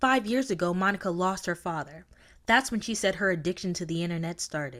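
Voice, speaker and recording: On a very clean recording with a silent background, a woman in a normal speaking voice talks fairly quickly at a medium pitch with lively intonation. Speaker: TV news reporter. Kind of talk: TV news reporter package narration.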